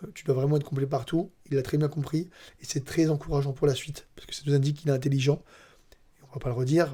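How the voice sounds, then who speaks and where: A man talks at a very fast pace in a monotone, flat way. His fairly high voice is somewhat breathy, with a dark, mellow tone. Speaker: MMA analyst. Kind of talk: casual chat. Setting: training camp, handheld microphones.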